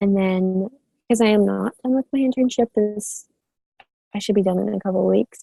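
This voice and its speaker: Somewhat breathy and dark and mellow in tone, a woman talks at a medium pitch and a fairly quick pace, the sound dry and close with no echo. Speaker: student intern. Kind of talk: class presentation.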